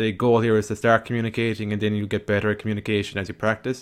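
A man with an Irish accent and a fairly low pitch, talking at a very fast pace, on a very clean recording with a silent background. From Ireland. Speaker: podcast host. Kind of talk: solo podcast monologue.

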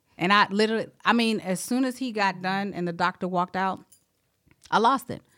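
With an American accent, a woman speaks fairly quickly at a medium pitch, her tone bright and sharp with ordinary pitch variation, in a very clean recording with a silent background. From South Carolina. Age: 30s. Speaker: Navy veteran and HR manager. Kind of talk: casual interview, personal health testimony.

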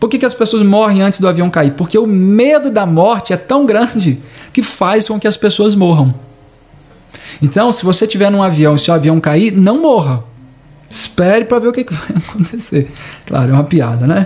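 Over music in the background, a man with a Brazilian accent speaks at a moderate pace in a high pitch with lively intonation. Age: 30s. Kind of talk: reflective monologue.

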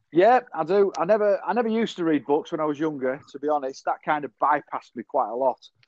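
A man with a Yorkshire accent and a fairly high pitch talks at a very fast pace with hardly any pauses and lively intonation. The sound is dry and close, with no echo. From northern England, Yorkshire (Selby). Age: 50s. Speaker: social media marketer, musician. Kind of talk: casual interview chat.

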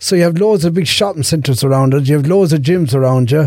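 Here a man speaks with a fairly high pitch and ordinary pitch variation. His tone is dark and mellow. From Ireland, Irish Traveller community (Meath). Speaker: guest, Ironman athlete and charity fundraiser. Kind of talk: casual interview.

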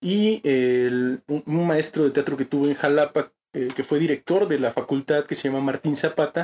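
A man speaks in a plain, everyday voice with a fairly high pitch. His pace is moderate and his pitch varies in an ordinary way. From Mexico, Chiapas (Tuxtla Gutiérrez). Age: 20s. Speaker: theatre actor and director. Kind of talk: interview. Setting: studio.

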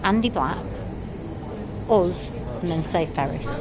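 Noticeable noise runs behind a woman who talks fairly slowly, her pitch varying in an ordinary way. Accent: Mancunian. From Manchester, England. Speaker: punk band rapper. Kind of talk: interview. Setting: at a music festival.

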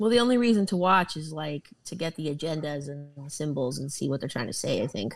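This woman talks at a fairly quick pace, her voice very deep and low for a woman, sweeping through very wide pitch swings. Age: 30s. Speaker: podcast host. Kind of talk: casual chat.

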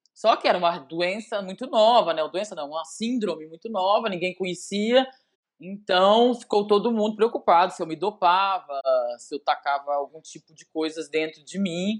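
A woman talks at a moderate pace in a normal speaking voice. Her loudness swings a lot. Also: medium pitch for a woman, ordinary pitch variation. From Brazil, Belo Horizonte (Minas Gerais). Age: 40s. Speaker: former volleyball player. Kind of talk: casual interview.

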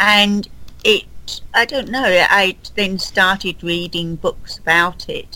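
A woman with a London accent speaks at a medium pitch in a bright, sharp tone. Her intonation is fairly even, and her pace is very slow. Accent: common London, Southern English. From London, England. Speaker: guest, Titanic enthusiast. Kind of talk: casual interview.

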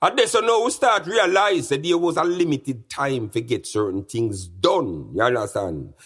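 Vocal fry runs through a man's speech as he talks at a fairly quick pace with very wide pitch swings. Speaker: podcast host. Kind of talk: casual monologue answering listener mail.

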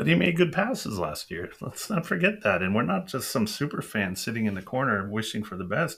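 A man's fairly low voice in an American accent, fairly quick, with lively intonation and a bright, sharp tone. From California. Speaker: sports podcast co-host. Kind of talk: casual chat.

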